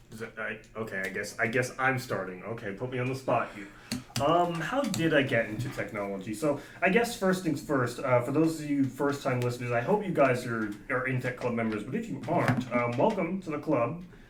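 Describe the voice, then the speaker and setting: Amid noticeable background noise and audible room echo, a man speaks at a fairly quick pace in a medium pitch with lively intonation. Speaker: student club president and podcast host. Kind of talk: casual chat. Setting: small storage closet. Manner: halting, many fillers and restarts. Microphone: echoey room sound.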